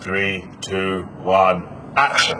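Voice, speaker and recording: Using a put-on character voice, a man speaks in a very deep, low pitch over clear background noise. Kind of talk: Shakespearean. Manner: authoritative, commanding.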